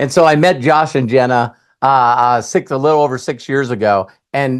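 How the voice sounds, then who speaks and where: Over a silent background in a very clean recording, a man speaks at a moderate pace with a medium pitch. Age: 60s. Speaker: network marketer. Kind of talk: testimony. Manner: halting.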